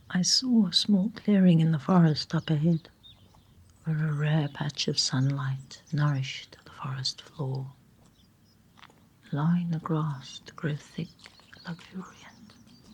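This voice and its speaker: Soft-spoken and somewhat breathy, a woman with a very deep, low pitch talks in a soothing tone at a fairly slow pace, with ordinary pitch variation. Her loudness swings widely, and she leaves long, frequent pauses. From South Africa. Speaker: storyteller. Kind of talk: sleep story. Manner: soft-spoken, soothing.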